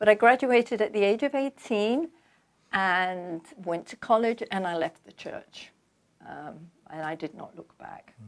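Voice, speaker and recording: A woman in a London accent, fairly high-pitched and fairly slow, with lively intonation and big swings in loudness. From London, England. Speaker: author. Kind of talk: interview.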